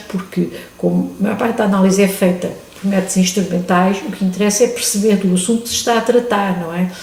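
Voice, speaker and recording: Over noticeable background noise and audible room echo, a woman in a European Portuguese accent talks at a very fast pace with a medium pitch and fairly even intonation. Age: 70s. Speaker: retired chemistry professor, museum volunteer. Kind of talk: interview. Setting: museum.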